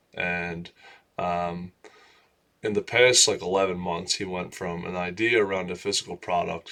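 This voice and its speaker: Mumbling, a man speaks at a fairly slow pace. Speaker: vlogger. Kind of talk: casual monologue vlog. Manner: loud; mumbling, run-on sentences.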